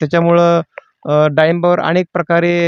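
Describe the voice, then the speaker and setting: The sound is dry and close, with no echo. A man speaks in a high pitch with flat, monotone intonation. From Maharashtra, Solapur district. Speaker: pomegranate farmer. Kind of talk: farm walkthrough interview. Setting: outdoors in orchard.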